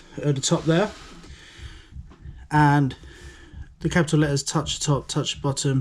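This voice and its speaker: A man talks at a very fast pace with fairly even intonation. His voice is fairly high and somewhat breathy. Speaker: design and technology teacher. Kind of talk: tutorial. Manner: monotone.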